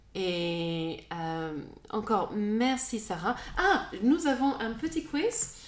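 A woman's fairly high voice, very slow, with very wide pitch swings and noticeable background noise. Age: 40s. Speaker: podcast host. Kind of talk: casual chat. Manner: halting.

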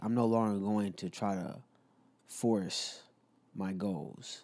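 A man talks in a plain, everyday voice at a fairly low pitch, with fairly even intonation. The recording is very clean, with a silent background. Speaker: podcast co-host; military service member. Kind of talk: casual chat. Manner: casual, slangy.

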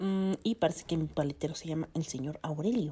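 With a very deep, low pitch, a woman speaks in a dark, mellow tone with ordinary pitch variation. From Mexico. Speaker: podcast host. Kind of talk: casual solo monologue. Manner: halting, many fillers.

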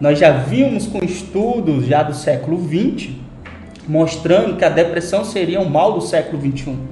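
There is audible room echo and noticeable background noise as a man speaks with lively intonation at a fairly high pitch. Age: 20s. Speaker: pastor and psychologist. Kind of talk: casual chat.

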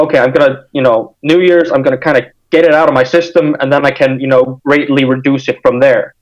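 In an American accent, a man with a plain, everyday voice speaks at a fairly quick pace. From Iceland, also Denmark and the United States. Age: 20s. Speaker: hardcore punk musician. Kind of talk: casual interview chat.

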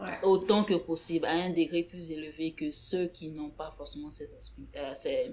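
Noticeable background noise fills the clip. A woman speaks through it at a fairly slow pace. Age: 20s. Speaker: podcast co-host. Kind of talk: casual chat.

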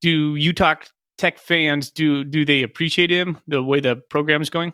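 Fairly even intonation marks a man talking with an American accent. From Washington state, US. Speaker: podcast co-host. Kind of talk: casual chat.

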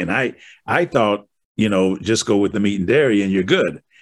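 A man with an American accent talks at a fairly quick pace, his pitch fairly low, in an unremarkable speaking voice. The recording is very clean, with a silent background. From Wisconsin. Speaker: podcast host. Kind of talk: interview conversation.

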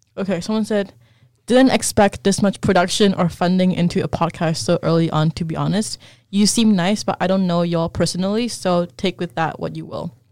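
A woman with an unremarkable speaking voice talks at a fairly quick pace. Her pitch is medium, with ordinary variation. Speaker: podcast co-host. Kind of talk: casual chat.

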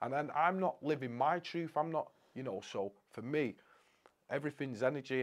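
A man talks in a northwest English accent. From Crewe, Cheshire, England. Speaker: motivational speaker. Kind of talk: casual interview chat.

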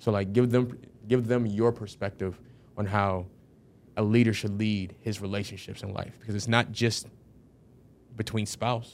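A man with a fairly low pitch talks in a monotone with flat intonation, taking long, frequent pauses. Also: moderate pace. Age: 20s. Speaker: podcast host. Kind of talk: casual chat.

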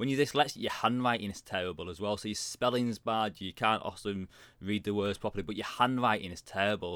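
A man in a British accent speaks at a very fast pace, with a fairly low pitch and ordinary pitch variation. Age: 40s. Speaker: career coach and author. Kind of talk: casual interview.

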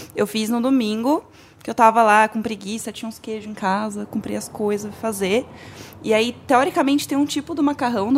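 At a moderate pace, this is a plain, everyday voice with ordinary pitch variation. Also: woman. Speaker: podcaster guest. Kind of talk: casual chat.

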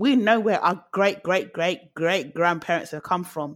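A woman speaks at a medium pitch with a British accent. Her pace is fairly slow, with ordinary pitch variation. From London, South London. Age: 30s. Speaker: interview guest. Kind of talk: casual chat. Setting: online call.

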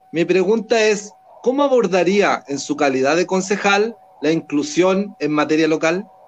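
Amid noticeable background noise, a man speaks in a high pitch at a fairly slow pace with lively intonation. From Chile, Talagante. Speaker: community online show co-host. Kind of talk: casual interview show.

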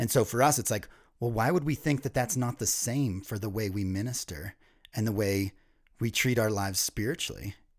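At a fairly quick pace, a man with an ordinary speaking voice talks at medium pitch with ordinary pitch variation in a very clean recording with a silent background. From US East Coast. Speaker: ministry leader. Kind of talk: podcast interview.

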